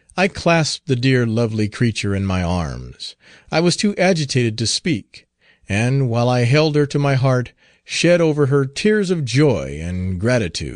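Over a quiet background, a man's pitch swings very widely. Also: medium pitch for a man, moderate pace. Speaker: audiobook narrator. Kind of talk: literary audiobook reading of a historical pirate narrative, first-person. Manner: measured, even narration with formal period diction.

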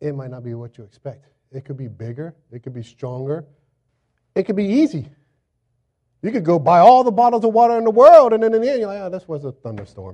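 A man with an American accent and a high pitch, very fast pace, very wide pitch swings, a dark, mellow tone and long, frequent pauses. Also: big swings in loudness. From Florida, US South. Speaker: pastor. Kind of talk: sermon. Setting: church. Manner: animated.

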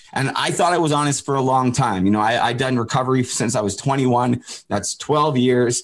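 Medium in pitch and very even in loudness, a man with a western Canadian accent speaks at a moderate pace. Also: ordinary pitch variation. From Canada, Port Coquitlam near Vancouver. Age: 30s. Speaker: former pro hockey player in addiction recovery. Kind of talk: interview conversation.

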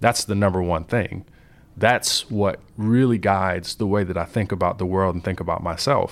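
On a very clean recording with a silent background, a man with an American accent and an unremarkable speaking voice talks at a moderate pace, his pitch fairly low and his intonation fairly even. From Compton, Los Angeles, California. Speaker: software engineer. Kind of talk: interview.

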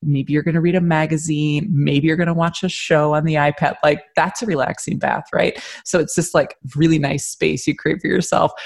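A woman with an American accent and a very deep, low pitch, somewhat breathy, at a moderate pace with very even loudness and hardly any pauses. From US, Michigan and Philadelphia. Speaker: shop owner. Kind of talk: interview.

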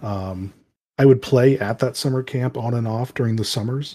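A man with a medium pitch and a dark, mellow tone speaks at a fairly quick pace, somewhat breathy, with fairly even intonation. The recording is very clean with a silent background. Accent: American. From US, rural town. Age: 30s. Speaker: educator and game master. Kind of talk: casual interview chat.

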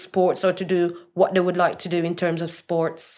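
A woman speaks at a medium pitch in a very clean recording with a silent background. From Jamaica. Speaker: healthcare worker. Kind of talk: interview.

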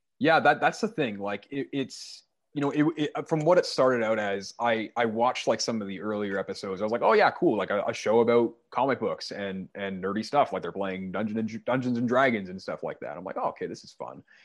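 A man talks at a fairly quick pace in a Canadian accent, with medium pitch and big swings in loudness. It is a plain, everyday voice. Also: ordinary pitch variation, hardly any pauses. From Canada. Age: 20s. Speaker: metal band musician. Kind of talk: casual chat.

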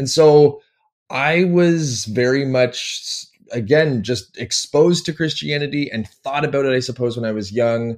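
A man with a Canadian accent has a normal speaking voice. His pitch is fairly high, varies in an ordinary way, and he keeps a moderate pace. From Canada (Toronto, Ontario). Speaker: PhD candidate and university teacher. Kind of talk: interview.

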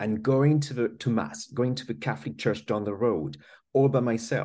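Speaking with a French accent, a man has a dark, mellow tone and a medium pitch that swings very widely. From France. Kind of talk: casual interview conversation.

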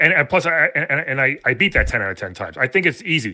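On a very clean recording with a silent background, a man talks in an animated, bright, sharp tone. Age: 40s. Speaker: podcast host and gamer. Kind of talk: casual chat.

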